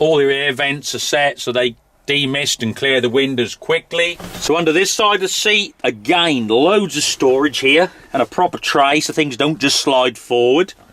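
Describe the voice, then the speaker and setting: Someone with a British accent speaks at a moderate pace with ordinary pitch variation over noticeable background noise. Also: man, fairly high pitch for a man. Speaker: tractor reviewer. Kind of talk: product walkthrough review. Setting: inside a tractor cab. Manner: casual, with fillers.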